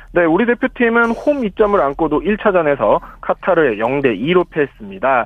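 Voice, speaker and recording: A man's high-pitched voice makes very wide pitch swings. His loudness stays very even. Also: moderate pace. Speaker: sports reporter. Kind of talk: radio news report. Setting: radio studio.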